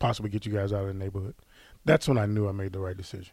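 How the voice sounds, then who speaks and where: A man with a fairly low pitch sounds somewhat breathy on a very clean recording with a silent background. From US Midwest, St. Louis. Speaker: former college football player and coach. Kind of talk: interview.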